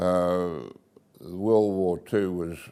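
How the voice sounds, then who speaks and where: In an Australian accent, a man speaks with a very deep, low pitch, a dark, mellow tone and fairly even intonation. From Australia, Bowral, New South Wales. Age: 80s+. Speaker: local elder telling his life story. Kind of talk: oral history interview.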